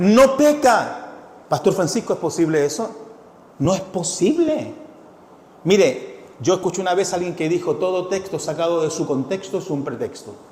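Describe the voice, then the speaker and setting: Over noticeable background noise and audible room echo, a man speaks at a moderate pace in a high pitch with very wide pitch swings. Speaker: pastor. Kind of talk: sermon. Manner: animated, engaging audience.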